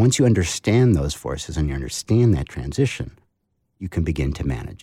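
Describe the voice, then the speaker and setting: A man talks very fast at a very deep, low pitch, with vocal fry in a dark, mellow tone. The recording is very clean, its background silent. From New England. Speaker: author. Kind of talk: interview.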